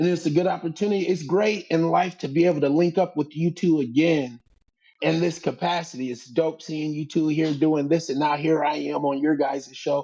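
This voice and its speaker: This man has an ordinary speaking voice with a fairly high pitch. He speaks at a moderate pace with fairly even intonation. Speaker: stand-up comedian. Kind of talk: casual chat.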